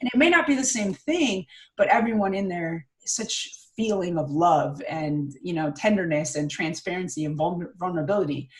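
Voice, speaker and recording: An energetic, somewhat breathy woman's voice at a medium pitch, fairly quick, with very wide pitch swings. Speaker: public speaking coach. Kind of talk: interview conversation.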